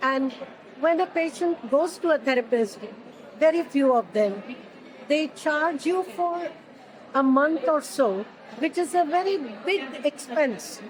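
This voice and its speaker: Against noticeable background noise, a woman with a high pitch speaks at a fairly slow pace with lively intonation, very even loudness, and long, frequent pauses. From India, Pune. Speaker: lymphedema therapist and research consultant. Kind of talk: interview.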